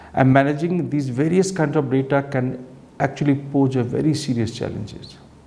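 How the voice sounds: A man with a medium pitch and a dark, mellow tone talks at a moderate pace, with vocal fry, fairly even intonation and audible room echo.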